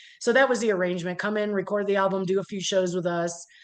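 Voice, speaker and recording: Against a quiet background, a woman with a slight Midwestern accent speaks very fast at a medium pitch. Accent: slight Midwest (Cleveland). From US Midwest, Cleveland, Ohio. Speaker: metal musician, keyboardist. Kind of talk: interview. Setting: video call.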